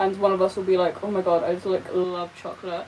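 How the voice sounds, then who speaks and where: A woman speaking over noticeable background noise. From Britain. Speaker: live streamer. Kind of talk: casual livestream chat while doing makeup. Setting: livestream. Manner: animated.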